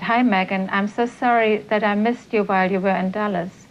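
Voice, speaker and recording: A woman speaks at a medium pitch in a monotone, flat way. Noticeable background noise can be heard. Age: 60s. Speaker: mother of cult members. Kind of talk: interview testimony.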